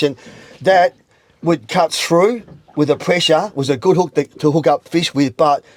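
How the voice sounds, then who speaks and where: Speaking at a moderate pace, a man uses a fairly high voice with ordinary pitch variation. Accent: Australian. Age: 60s. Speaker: veteran angler. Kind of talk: instructional interview. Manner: halting, repetitive.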